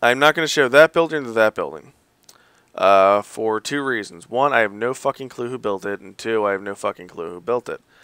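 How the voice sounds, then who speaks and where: A man mumbles at a fairly quick pace with lively intonation. The sound is dry and close, with no echo. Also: medium pitch for a man, very clean recording, silent background. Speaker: gamer showing a game server. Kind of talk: game walkthrough commentary. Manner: mumbling.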